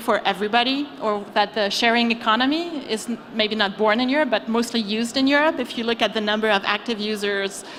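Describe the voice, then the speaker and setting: A woman with a French accent, fairly high-pitched, at a fairly quick pace, over noticeable background noise. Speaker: venture capital investor. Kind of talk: panel discussion. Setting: stage with audience.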